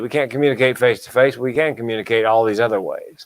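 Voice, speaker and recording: A man talks at a fairly quick pace and medium pitch. He has a plain, everyday voice. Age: 60s. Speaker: comedian and mental health speaker. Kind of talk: casual chat.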